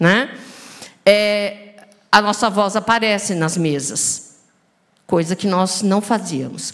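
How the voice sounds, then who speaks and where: Medium in pitch, a woman's voice shows ordinary pitch variation. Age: 60s. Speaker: physician, rare disease specialist. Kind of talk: panel discussion. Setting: stage with audience. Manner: animated.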